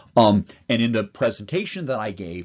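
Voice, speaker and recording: A man's voice at a medium pitch. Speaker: physician lecturer. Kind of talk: lecture. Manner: animated.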